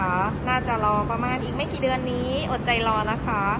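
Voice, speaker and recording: A woman speaks over loud background noise. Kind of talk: product showcase commentary. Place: shop. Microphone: phone near.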